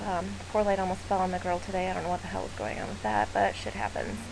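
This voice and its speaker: Someone with a Midwestern US accent speaks at a very fast pace, with audible room echo and noticeable background noise. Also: woman. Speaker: photographer. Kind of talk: tutorial. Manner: casual, chatty with many fillers.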